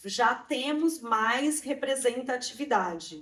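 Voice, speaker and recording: A woman speaks with a Brazilian accent. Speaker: immigrant rights activist. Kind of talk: interview testimony. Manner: halting.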